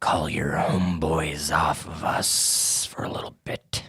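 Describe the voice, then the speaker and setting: A man puts on a growling character voice with a very deep, low pitch. His delivery is monotone and flat at a fairly slow pace. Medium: actual play. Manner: laid-back, dry.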